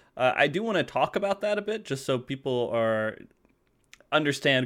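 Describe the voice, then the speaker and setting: This man has a medium-pitched voice with lively intonation. It is a plain, everyday voice. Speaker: podcast host. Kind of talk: casual chat. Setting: video call.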